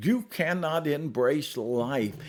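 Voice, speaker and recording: The recording is very clean, and the background is silent. A man talks with vocal fry. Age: 70s. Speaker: storyteller. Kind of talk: reflective talk to camera.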